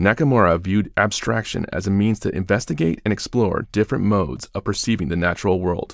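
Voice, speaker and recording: Speaking very fast with hardly any pauses, a man uses a fairly low pitch and ordinary pitch variation. The recording is very clean, with a silent background. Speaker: audio description narrator. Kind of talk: audio description narration of artworks. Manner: vivid, evocative, measured.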